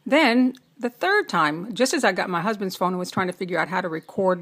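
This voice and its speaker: A woman speaks at a moderate pace in an ordinary speaking voice, with medium pitch and ordinary pitch variation. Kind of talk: casual talk to camera.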